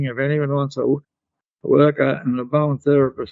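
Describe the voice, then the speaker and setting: Fairly high in pitch, a man talks with an Australian accent. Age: 90s. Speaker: bodywork therapy teacher. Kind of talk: interview.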